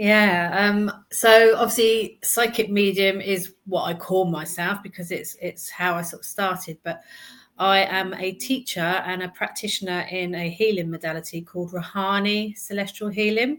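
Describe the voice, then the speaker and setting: A woman's medium-pitched voice in an English accent, fairly even in intonation, at a moderate pace, on a very clean recording with a silent background. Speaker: psychic medium and healer. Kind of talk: interview.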